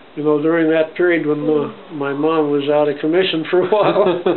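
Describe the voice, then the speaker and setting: There is noticeable background noise and audible room echo. A man with a fairly high pitch talks at a moderate pace in a monotone, flat way. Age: 90s. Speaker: grandfather interviewed by grandson. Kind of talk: oral history interview. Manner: halting.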